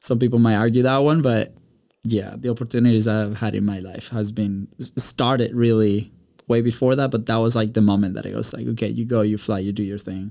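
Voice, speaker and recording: With a Spanish accent, a man speaks at a fairly quick pace and medium pitch. His tone is dark and mellow, his intonation fairly even. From Venezuela. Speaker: podcast studio owner, content producer. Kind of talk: casual interview.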